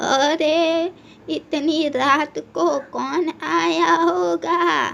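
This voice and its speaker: A high-pitched, female-sounding cartoonish character voice. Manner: gentle, motherly.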